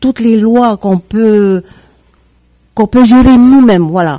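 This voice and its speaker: Heard in a dry, close sound with no echo, a woman with a dark, mellow tone speaks at a fairly slow pace with fairly even intonation. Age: 50s. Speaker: political candidate. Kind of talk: radio interview. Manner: halting, many hesitations.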